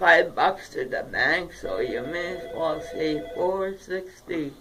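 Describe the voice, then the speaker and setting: Noticeable background noise sits behind the recording. A woman talks at a very slow pace. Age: 70s. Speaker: low-income street vendor and activist. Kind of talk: interview. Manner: halting.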